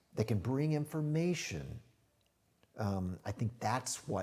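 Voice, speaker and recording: Speaking at a fairly slow pace, a man uses very wide pitch swings in a somewhat breathy voice. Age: 60s. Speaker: IT strategy consultant, former music industry executive. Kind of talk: podcast interview.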